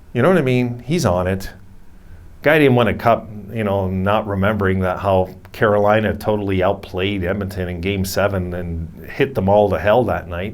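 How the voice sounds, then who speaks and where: A man speaks at a fairly low pitch. Room echo is audible around his voice. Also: ordinary pitch variation, moderate pace. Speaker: hockey YouTuber. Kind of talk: casual commentary, reading quotes aloud. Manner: halting, stuttering.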